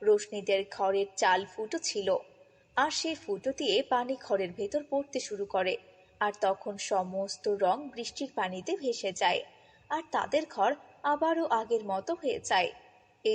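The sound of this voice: A woman speaks at a medium pitch with a slightly husky edge. Her pace is fairly slow. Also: lively intonation.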